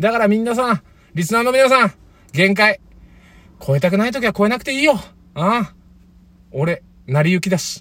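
With long, frequent pauses amid a fairly quick pace, a man speaks in a high pitch with lively intonation and an animated, bright, sharp tone. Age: 30s. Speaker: former comedian, podcast co-host. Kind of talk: casual chat.

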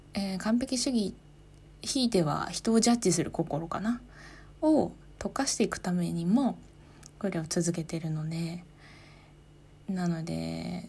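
Speaking fairly slowly with long, frequent pauses, a woman has a calm tone, a dark, mellow, somewhat breathy voice, a fairly low pitch and lively intonation. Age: 30s. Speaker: podcaster, office worker. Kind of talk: solo talk.

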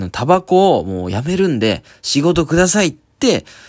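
Very wide pitch swings mark a man's voice in a very clean recording with a silent background. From Japan, Oita Prefecture (Kyushu). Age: 20s. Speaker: comedian. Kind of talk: solo podcast monologue. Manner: casual, halting with fillers.

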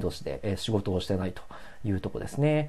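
Lively intonation runs through a relaxed, calm delivery with a dark, mellow tone. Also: man. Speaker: solo podcaster. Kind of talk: casual solo talk. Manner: relaxed, many filler sounds.

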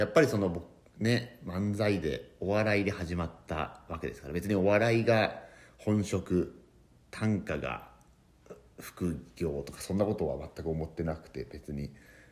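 Fairly slow speech from a man, with ordinary pitch variation. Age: 30s. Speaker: comedian. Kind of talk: podcast monologue. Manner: halting.

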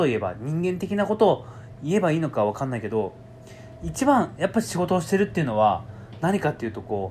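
A man with a fairly high pitch and very wide pitch swings. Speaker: podcast host and writer trainer. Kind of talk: solo monologue. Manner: fast, sometimes stumbling.

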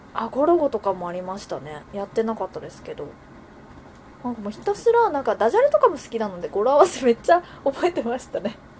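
Amid noticeable background noise, a woman speaks at a very fast pace with a high pitch, very wide pitch swings and big swings in loudness. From Wakayama, Japan. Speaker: podcast host. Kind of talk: casual chat.

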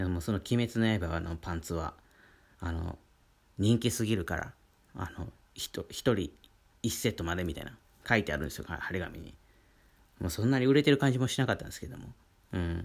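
Over a very clean recording with a silent background, a man talks at a fairly quick pace in a very deep, low pitch. His intonation is lively, with long, frequent pauses and big swings in loudness. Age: 30s. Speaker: painter and daily radio host. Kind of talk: casual solo talk. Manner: many fillers and hesitations.

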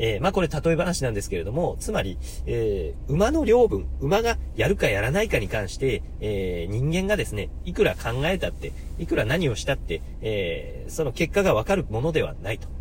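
A man talks at a moderate pace. Noticeable background noise and audible room echo come through. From Hokuriku, Japan. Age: 30s. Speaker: podcaster, office worker. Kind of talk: solo talk radio monologue. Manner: polite, formal with many fillers.

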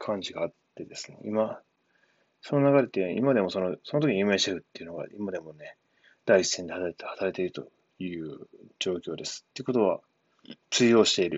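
A man's unremarkable speaking voice, fairly low in pitch, with ordinary pitch variation and a fairly quick pace. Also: big swings in loudness. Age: 30s. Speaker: former cook turned programming student. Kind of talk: solo monologue podcast. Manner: casual, filler-heavy.

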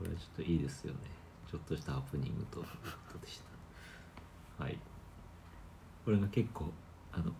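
A man with a dark, mellow tone and a very deep, low pitch talks at a fairly quick pace with vocal fry and lively intonation, leaving long, frequent pauses amid audible room echo. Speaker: podcast host. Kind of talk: casual chat.

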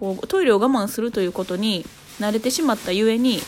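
A woman speaks fairly quickly in a fairly high pitch. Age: 30s. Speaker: podcaster, mother. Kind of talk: casual solo talk. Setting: at home holding a baby on the sofa.

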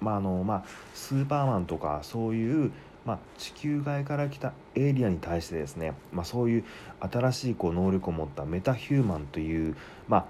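Speaking at a fairly quick pace, a man with a fairly low pitch and a dark, mellow tone makes very wide pitch swings. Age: 40s. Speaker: podcast host, film reviewer. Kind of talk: solo film review monologue. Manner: frequent fillers and hesitations.

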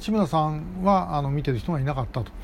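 At a moderate pace, a man speaks in a fairly high voice with very wide pitch swings. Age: 60s. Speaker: podcast host, activist. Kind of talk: solo commentary monologue. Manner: frequent filler hesitations.

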